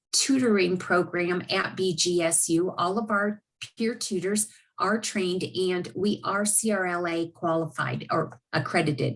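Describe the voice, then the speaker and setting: An ordinary speaking voice from a woman, medium pitch, ordinary pitch variation, moderate pace. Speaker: university learning specialist. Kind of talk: informational presentation.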